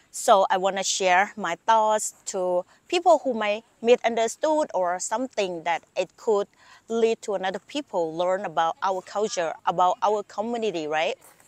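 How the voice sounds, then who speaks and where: With a Thai accent, a woman of medium pitch speaks at a moderate pace with lively intonation, her sound dry and close with no echo over a quiet background. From Thailand. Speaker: YouTuber. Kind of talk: casual vlog monologue.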